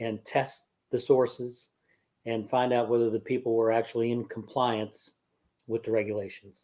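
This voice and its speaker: Here is a man with a dark, mellow tone and medium pitch. He speaks with monotone, flat intonation. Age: 70s. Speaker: life coach. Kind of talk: casual chat. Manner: halting, many fillers.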